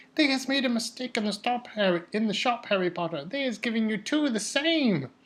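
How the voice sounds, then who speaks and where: A squeaky, put-on character voice with fairly high pitch moves at a fairly quick pace. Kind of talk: audiobook character voice. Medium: read story. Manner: servile, third-person speech, broken grammar, 'sir'.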